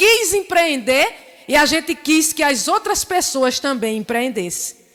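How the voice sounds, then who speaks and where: A woman with a Paraíba accent, high-pitched and animated, speaking fairly slowly with very wide pitch swings over noticeable background noise. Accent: Northeastern Paraíba. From Northeast Brazil, Paraíba (rural Areia). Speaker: community entrepreneur, invited speaker. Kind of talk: seminar talk.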